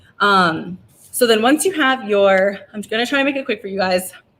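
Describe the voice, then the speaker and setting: Medium pitch and ordinary pitch variation in a woman's speech. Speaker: craft workshop host. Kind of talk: tutorial. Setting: winery craft area, livestream. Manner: fast; casual, filler-heavy.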